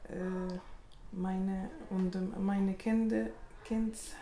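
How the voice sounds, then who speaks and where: A speaker with an Arabic accent talks at a very slow pace. Noticeable background noise is present. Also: woman. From Tunisia. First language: Arabic (speaking German). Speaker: language course participant. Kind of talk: personal introduction. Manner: halting.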